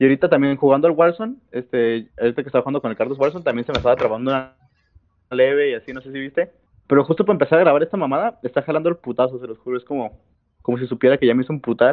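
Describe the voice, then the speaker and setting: A very fast man's voice, fairly high in pitch, with big swings in loudness. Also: ordinary pitch variation. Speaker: podcast co-host. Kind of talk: casual chat.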